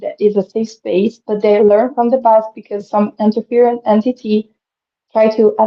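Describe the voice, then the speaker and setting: Her intonation monotone and flat, a woman with a non-native accent speaks at a fairly high pitch. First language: not English. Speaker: spiritual speaker, channeler. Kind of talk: live stream interview. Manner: halting, many fillers.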